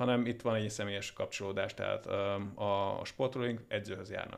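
A man with a fairly low pitch speaks at a moderate pace. His pitch varies in an ordinary way. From Hungary. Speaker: gym trainer. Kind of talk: casual interview chat. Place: studio. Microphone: studio mic.

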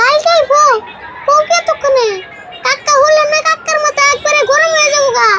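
This is a cartoonish character voice with extremely high pitch. Light background noise sits behind it. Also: moderate pace. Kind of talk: cartoon comedy. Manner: sarcastic, quick-tongued.

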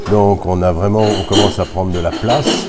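Against loud background noise, a man with a very deep, low voice speaks at a moderate pace with fairly even intonation. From Alsace, France (Mulhouse); Alsace, France. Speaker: tournament director, former tennis player. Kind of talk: interview. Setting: at a tennis tournament. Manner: hesitant with fillers. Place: hall. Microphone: phone near.

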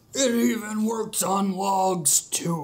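A man's put-on character voice at a high pitch, with lively intonation. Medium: comedy sketch. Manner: eerie. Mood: deadpan.

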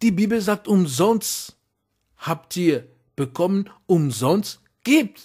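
Lively intonation marks this very slow delivery, which is full of long, frequent pauses. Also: man, high pitch for a man. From outside Germany, immigrant. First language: not German (speaking German). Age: adult. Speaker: preacher. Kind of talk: sermon. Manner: halting, many fillers.

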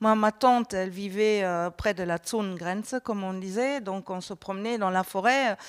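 A woman speaks at an unhurried, middling speed, her intonation fairly even, with quiet all around. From Germany. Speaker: politician; panelist. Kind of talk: panel discussion. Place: studio. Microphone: handheld.

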